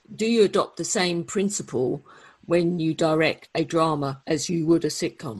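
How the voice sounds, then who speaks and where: Against a quiet background, a woman with a fairly low pitch speaks at a moderate pace in a normal speaking voice with ordinary pitch variation. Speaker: podcast interviewer. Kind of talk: interview question.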